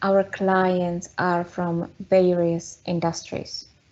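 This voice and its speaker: With a Czech accent, a woman speaks very slowly at a medium pitch with fairly even intonation. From Czech Republic. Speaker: data consultant. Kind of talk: webinar presentation. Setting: online webinar.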